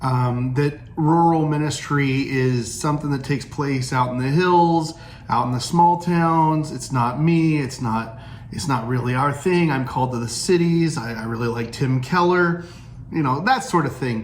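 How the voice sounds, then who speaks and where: Over noticeable background noise and audible room echo, a man with a slight Southern Illinois accent speaks at a fairly high pitch and a moderate pace with ordinary pitch variation. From US Midwest, Southern Illinois. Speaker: pastor. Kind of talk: casual vlog talk. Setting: indoors, storm outside. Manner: halting, many fillers and restarts.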